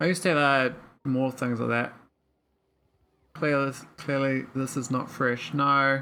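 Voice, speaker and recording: Speech in a New Zealand accent comes at a fairly slow pace with long, frequent pauses. The recording is very clean, with a silent background. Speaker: gaming streamer. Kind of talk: casual livestream gameplay commentary. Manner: slurred words.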